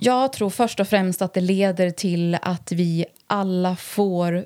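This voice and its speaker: The intonation is flat and monotone. The tone is dark and mellow. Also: woman. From Härnösand, Sweden. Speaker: violence prevention coordinator. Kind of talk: interview in her home.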